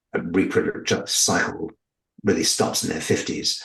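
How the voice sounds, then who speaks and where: A man with a northern English accent at a fairly slow pace. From northern England. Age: 60s. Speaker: UFO abductee. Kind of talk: interview. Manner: halting, with repetitions.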